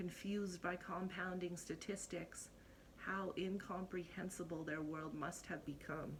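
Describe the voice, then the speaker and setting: Fairly low in pitch and somewhat breathy, a woman speaks at a fairly slow pace in a monotone, flat intonation with very even loudness. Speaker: spoken word poet. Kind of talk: spoken word poetry performance.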